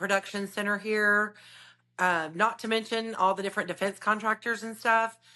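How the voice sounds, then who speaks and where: This voice has a bright, sharp tone and a Southern US accent. The background is quiet. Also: woman. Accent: Southern twang. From US South, north Alabama (Decatur). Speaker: realtor. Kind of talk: podcast interview. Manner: animated.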